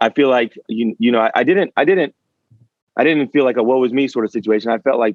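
Talking very fast, a man speaks with an American accent. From Richmond, Virginia. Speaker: personal trainer. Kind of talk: interview.

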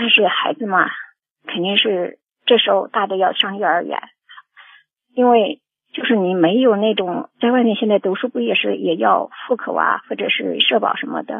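Pausing long and often, a woman talks at a medium pitch and a moderate pace with lively intonation. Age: 50s. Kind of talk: phone-in call. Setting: phone call. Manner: halting.

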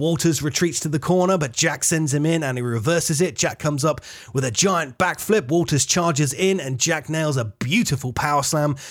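A man speaks with ordinary pitch variation as music plays in the background. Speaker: podcast host and wrestler. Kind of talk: wrestling commentary, blow-by-blow match call. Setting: studio podcast. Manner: animated, fast play-by-play delivery.

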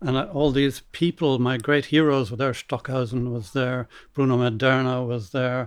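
A man with an Irish accent speaks with hardly any pauses and fairly even intonation. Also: medium pitch for a man, moderate pace. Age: 70s. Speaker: composer. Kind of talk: casual chat. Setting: stage with audience. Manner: halting.

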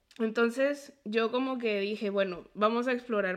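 Fairly even intonation in a normal speaking voice. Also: woman. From Mexico (near Puebla) and Colombia. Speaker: podcast host and medical student. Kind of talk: interview conversation.

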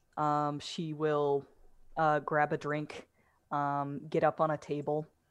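Against a quiet background, a woman speaks in a very deep, low pitch with flat, monotone intonation. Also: long, frequent pauses. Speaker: tabletop game player. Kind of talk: tabletop RPG game session, streamed.

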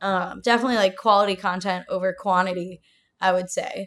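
In a very clean recording with a silent background, a woman with an American accent speaks in a normal speaking voice at medium pitch, with fairly even intonation and a fairly quick pace. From Ohio. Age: 20s. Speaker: artist manager and booking agent. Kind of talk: casual interview chat.

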